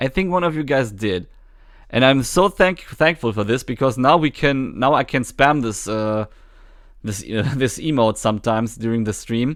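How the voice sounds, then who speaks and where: Lively intonation from a man at a medium pitch and moderate pace, on a very clean recording with a silent background. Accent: German. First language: German. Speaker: gaming streamer. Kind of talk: live stream chat. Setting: live stream. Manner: halting.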